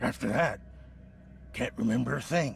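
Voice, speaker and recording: Over clear background noise, a man performs a raspy, put-on character voice. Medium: video game. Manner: defensive, bitter.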